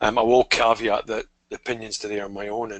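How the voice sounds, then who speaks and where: Speaking with a Scottish accent, this is a man. His intonation stays fairly even. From Scotland. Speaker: technology strategist. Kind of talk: webinar interview. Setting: online webinar.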